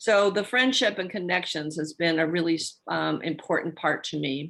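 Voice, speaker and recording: Fairly low female voice with vocal fry, moderate pace and ordinary pitch variation. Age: 80s+. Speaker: retired speech therapist, community volunteer. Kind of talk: testimony on webinar. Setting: video call webinar.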